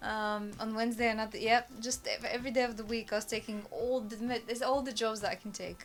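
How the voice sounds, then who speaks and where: A woman with a Bulgarian accent at a very fast pace, in a monotone, flat intonation. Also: fairly high pitch for a woman, hardly any pauses. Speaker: immigrant interviewee. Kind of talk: casual interview chat.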